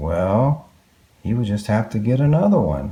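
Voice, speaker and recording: Very wide pitch swings in a warm tone at a fairly slow pace. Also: man. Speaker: dad reading children's books aloud. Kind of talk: children's book read aloud. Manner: warm, expressive, engaging.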